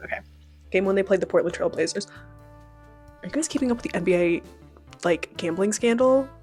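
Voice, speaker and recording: A woman talking at a very fast pace with music in the background. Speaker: book youtuber. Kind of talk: casual talk to camera. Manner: fast, chatty.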